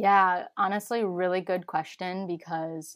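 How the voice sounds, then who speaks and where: A woman with an American accent has an ordinary speaking voice. Her pitch is fairly low with ordinary variation, and she goes at a fairly slow pace. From US Midwest, Chicago. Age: 20s. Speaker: holistic nutritionist. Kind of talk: casual interview. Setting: remote, sitting in a closet.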